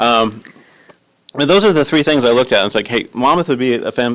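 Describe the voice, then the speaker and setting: This speaker is a man. He talks very fast. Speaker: city manager candidate. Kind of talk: job interview. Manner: halting.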